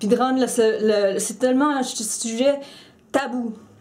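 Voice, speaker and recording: A woman's fairly high-pitched voice with fairly even intonation and audible room echo. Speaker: YouTuber, mental health vlogger. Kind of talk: personal vlog commentary. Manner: halting, many repetitions and fillers.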